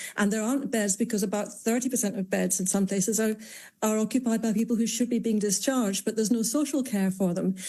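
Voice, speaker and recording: Speaking at a very fast pace, a woman has a fairly high pitch and a dark, mellow tone that is somewhat breathy. The recording is very clean, with a silent background. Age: 60s. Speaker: GP and health campaigner. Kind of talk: radio interview.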